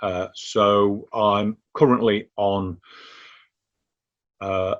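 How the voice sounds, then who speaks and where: The speaker is a man. His pitch is fairly low. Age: 60s. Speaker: cancer patient and awareness volunteer. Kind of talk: interview testimony. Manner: halting, with many fillers.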